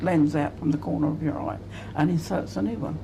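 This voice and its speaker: Speaking in an Essex accent, a woman uses a very deep, low pitch with lively intonation. Room echo is audible. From Essex, England. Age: 70s. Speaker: retired cataract patient. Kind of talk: testimony.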